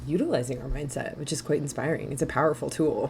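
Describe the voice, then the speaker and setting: A woman is talking. Behind her, background noise is noticeable. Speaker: mindset coach. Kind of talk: interview. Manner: fast.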